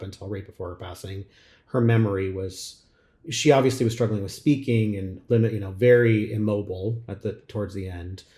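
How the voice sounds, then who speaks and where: A man's somewhat breathy voice, fairly low in pitch with a dark, mellow tone, at a moderate pace in a very clean recording with a silent background. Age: 40s. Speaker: podcast host. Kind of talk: casual chat.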